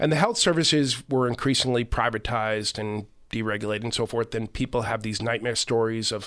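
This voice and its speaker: In a very clean recording with a silent background, a man with an American accent talks fairly quickly at a medium pitch, his intonation fairly even. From Boston, Massachusetts (South Boston). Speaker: author and correspondent on Ireland. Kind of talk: radio interview.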